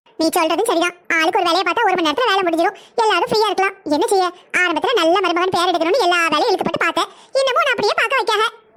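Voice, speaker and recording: A cartoonish character voice rattles along at a very fast pace. Its loudness stays very even. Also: woman, extremely high pitch for a woman, ordinary pitch variation. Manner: teasing, chatty.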